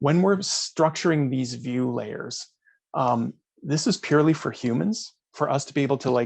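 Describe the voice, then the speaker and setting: Speaking at a moderate pace, a man with a fairly high pitch and ordinary pitch variation has an ordinary speaking voice. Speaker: data management consultant. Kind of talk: webinar presentation with Q&A. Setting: online webinar.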